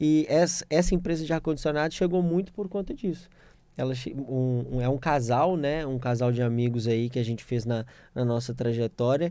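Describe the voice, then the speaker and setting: The recording is very clean with a silent background. A man with a dark, mellow tone speaks at a moderate pace with ordinary pitch variation. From Minas Gerais, Brazil (Belo Horizonte). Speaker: corporate lawyer. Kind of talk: radio interview. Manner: halting, many fillers.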